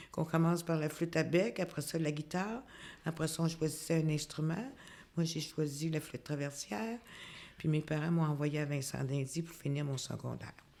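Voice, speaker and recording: Here a woman speaks with a very deep, low pitch and ordinary pitch variation. Her tone is dark and mellow. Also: moderate pace. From Quebec (Quebec City, then Montreal from age 8). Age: 60s. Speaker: retired community housing worker. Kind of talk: interview. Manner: halting, many hesitations.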